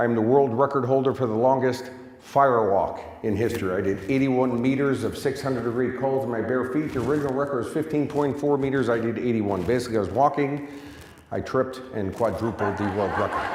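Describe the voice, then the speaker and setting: Someone with an American accent speaks at a very fast pace, with audible room echo and noticeable background noise. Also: man, medium pitch for a man. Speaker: success coach. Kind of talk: motivational talk. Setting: stage with audience. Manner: animated.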